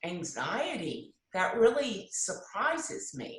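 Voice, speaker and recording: A woman speaks at a very slow pace in a medium pitch. Audible room echo fills the recording. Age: 60s. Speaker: discussion group member sharing personal story. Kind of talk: personal testimony.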